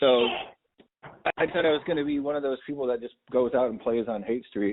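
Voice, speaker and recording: He talks at a fairly quick pace in an unremarkable speaking voice. This man's pitch varies in an ordinary way. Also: medium pitch for a man. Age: 50s. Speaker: podcast host. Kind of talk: casual chat.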